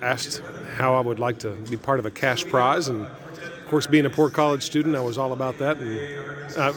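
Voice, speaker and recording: A man with an American accent speaks at a moderate pace in a fairly high pitch, with ordinary pitch variation and noticeable background noise. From small town near where West Virginia, Ohio and Kentucky meet. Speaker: event announcer and barbershop singer. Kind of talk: conversational interview.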